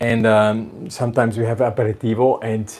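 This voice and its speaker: Music plays in the background as a man at medium pitch speaks fairly slowly in a strong Austrian accent. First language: German. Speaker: violin maker and video host. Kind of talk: casual workshop visit interview. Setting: indoors in a violin workshop. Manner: halting, with fillers.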